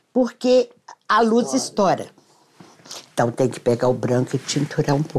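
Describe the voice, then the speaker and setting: Vocal fry runs through this voice, which moves at a moderate pace with very wide pitch swings. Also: woman. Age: 70s. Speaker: architect and costume designer. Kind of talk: casual interview. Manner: halting.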